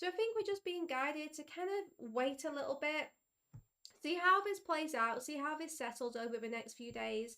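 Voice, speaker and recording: Her intonation is lively and her pitch is high for a woman. She uses a raised, projected voice. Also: moderate pace. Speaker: tarot reader. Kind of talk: live tarot reading. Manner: casual, conversational.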